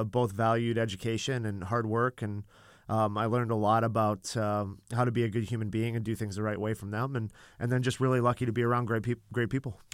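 An unremarkable speaking voice from a man at a medium pitch, fairly quick in pace with fairly even intonation, on a very clean recording with a silent background. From Canada. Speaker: college volleyball head coach. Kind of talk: interview. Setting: studio.

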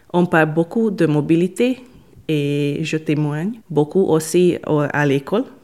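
A woman with a Hungarian accent and a fairly low pitch, speaking at a very slow pace. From Hungary. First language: Hungarian (speaking French). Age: 20s. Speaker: volunteer. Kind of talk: interview. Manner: halting.

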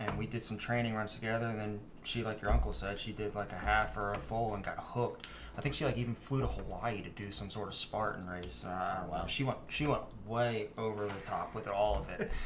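A man talks at a fairly quick pace. Noticeable background noise runs under his speech. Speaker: run club member. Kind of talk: casual interview chat.

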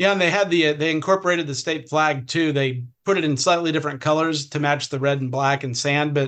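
In an American accent, this is a normal speaking voice at a fairly quick pace. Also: man. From Southern California. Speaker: state legislator. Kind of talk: interview.

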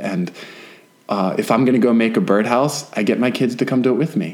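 With noticeable background noise behind him, a man talks at a fairly quick pace with ordinary pitch variation. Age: 30s. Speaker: podcast co-host and homesteader. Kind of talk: casual chat.

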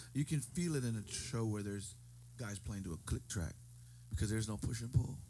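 Somewhat breathy and dark, mellow in tone, a man with an American accent speaks at a fairly low pitch and a fairly quick pace, broken by long, frequent pauses. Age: 40s. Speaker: musician. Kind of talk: casual chat. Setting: studio.

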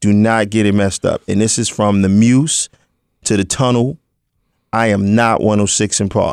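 In a New York accent, a man speaks at a moderate pace and a fairly low pitch, with fairly even intonation and very even loudness. The sound is dry and close with no echo, in a very clean recording against a silent background. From Brooklyn, New York (Crown Heights). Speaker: rapper. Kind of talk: casual interview.

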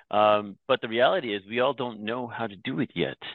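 Here is a man with a Canadian accent. He has an unremarkable speaking voice. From Canada (Toronto), born in Myanmar. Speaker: company founder and CEO. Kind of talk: interview.

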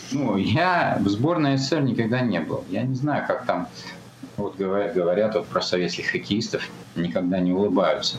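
This man's fairly low voice swings very widely in pitch at a moderate pace, with noticeable background noise and audible room echo. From Kazakhstan (Almaty), Soviet Union. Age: 50s. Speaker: ultramarathon runner. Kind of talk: interview.

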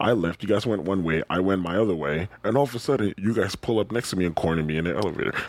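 Over noticeable background noise, a man talks at a very fast pace with hardly any pauses. His pitch is very deep and low, and his loudness stays very even. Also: ordinary pitch variation. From Ghana. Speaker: podcast co-host. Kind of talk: casual chat. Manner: animated, laughing often.

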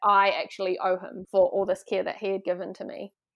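At a fairly quick pace, a woman talks in a normal speaking voice with medium pitch, on a very clean recording with a silent background. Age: 30s. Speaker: wellness guest studying body therapy. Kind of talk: casual interview chat.

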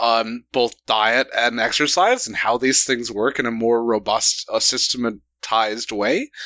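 A man with an American accent speaks at medium pitch, fairly slowly and with hardly any pauses. His loudness stays very even and his intonation fairly even, in an ordinary speaking voice. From United States. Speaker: radio show co-host. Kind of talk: casual chat.

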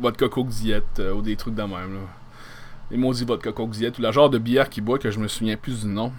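Speaking fairly quickly with a Quebec accent, the voice keeps a fairly even intonation on a very clean recording with a silent background. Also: man, medium pitch for a man. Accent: Québécois French. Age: 30s. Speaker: podcast host. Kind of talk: casual solo monologue.

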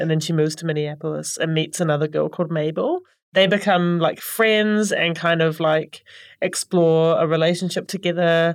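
At a fairly quick pace, a woman speaks at a fairly low pitch in an ordinary speaking voice. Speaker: library staff reader. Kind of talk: casual chat about books. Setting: studio.

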